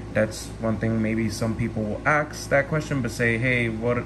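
Over noticeable background noise, a man speaks at a moderate pace with monotone, flat intonation. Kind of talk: casual vlog chat. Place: home room. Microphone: phone near.

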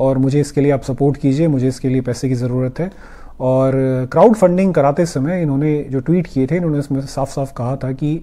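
A man's dark, mellow voice at a moderate pace with ordinary pitch variation. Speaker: commentary vlogger. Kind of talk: political commentary vlog. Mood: critical, explanatory. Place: home room.

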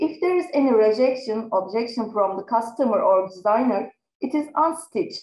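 With a Turkish accent, a woman speaks at a fairly high pitch in very wide pitch swings. Audible room echo surrounds her voice. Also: moderate pace. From Turkey. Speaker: research assistant; conference presenter. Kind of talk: conference presentation. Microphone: webcam.

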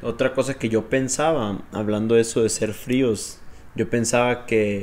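A man's fairly low, monotone, flat delivery at a very slow pace, in a Mexican accent. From Mexico. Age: 20s. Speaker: host's boyfriend. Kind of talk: casual chat. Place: home room. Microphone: handheld.

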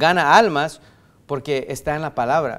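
Pitch moves in an ordinary way throughout. The speaker is a man. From US–Mexico border region. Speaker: pastor. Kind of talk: sermon. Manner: halting, many fillers and restarts. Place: church. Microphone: podium.

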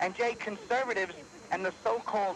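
A man with a high pitch talks at a moderate pace, the sound dry with no echo and light background noise. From New York. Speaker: talk radio caller; radio caller. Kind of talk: call-in to talk radio. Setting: phone line. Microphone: phone line.

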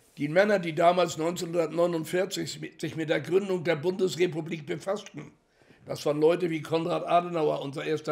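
A high-pitched man at a moderate pace, monotone and flat in intonation, over a quiet background. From Hamburg, Germany. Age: 80s+. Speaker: Holocaust survivor, contemporary witness; witness. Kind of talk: interview answer. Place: home room.

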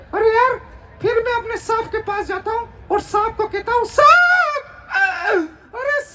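In a cartoonish character voice, a man talks at an extremely high pitch, leaving long, frequent pauses. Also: moderate pace. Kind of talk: ventriloquist comic act. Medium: puppet show. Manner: cheeky, wisecracking.

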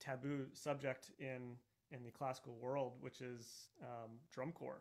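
A man with an American accent speaks at a very slow pace. His fairly high voice holds a fairly even intonation. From Texas. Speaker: orchestral percussionist. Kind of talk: masterclass lecture. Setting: video call webinar. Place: studio. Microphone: studio mic.

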